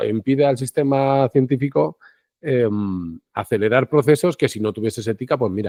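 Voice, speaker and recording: A dark, mellow tone with ordinary pitch variation comes through dry and close with no echo against a quiet background. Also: man. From Spain, Segovia. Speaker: citizen science project leader. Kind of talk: interview conversation. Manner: fast; halting, many restarts.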